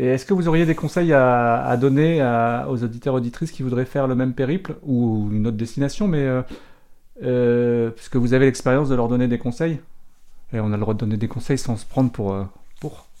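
The background stays quiet. A man's voice, dark and mellow in tone, moves at a fairly quick pace. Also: medium pitch for a man, ordinary pitch variation. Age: 50s. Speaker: podcast host, dog specialist. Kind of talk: podcast interview.

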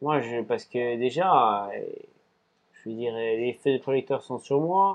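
Speaking at a very slow pace with long, frequent pauses, a man talks at a medium pitch. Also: ordinary pitch variation. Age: 30s. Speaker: ultra-endurance cyclist and restaurant owner. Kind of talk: casual interview. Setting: in his restaurant.

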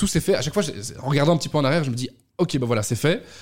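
The pitch rises and falls in a typical manner. Behind the voice, music can be heard. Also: man. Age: 20s. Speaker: communications agency head. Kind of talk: radio interview.

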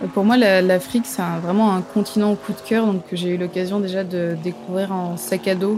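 Against noticeable background noise, a woman of medium pitch speaks at a moderate pace with fairly even intonation and hardly any pauses. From southern France. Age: 20s. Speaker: travel reporter. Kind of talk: interview testimony. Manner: halting, many repetitions and fillers.

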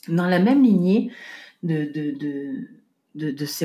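In a very clean recording with a silent background, a woman speaks with a dark, mellow tone and a fairly low pitch. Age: 40s. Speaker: podcast host and home organization coach. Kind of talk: solo podcast monologue. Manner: halting, frequent repetitions and fillers.

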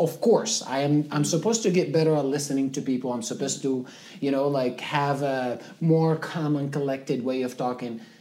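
Fairly quick speech with ordinary pitch variation, in a North African accent. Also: man, fairly high pitch for a man. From Libya, Zwara. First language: Tamazight. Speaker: videographer and entrepreneur. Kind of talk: interview conversation.

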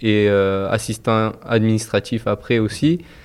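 A man speaks at a very slow pace, his pitch fairly low with ordinary variation. The background is quiet. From Toulouse, France. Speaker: football team manager. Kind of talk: interview. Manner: halting.

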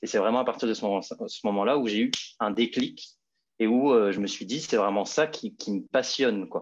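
Medium-pitched male voice, ordinary pitch variation, moderate pace, quiet background. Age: 20s. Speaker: fashion model. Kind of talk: interview. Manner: halting.

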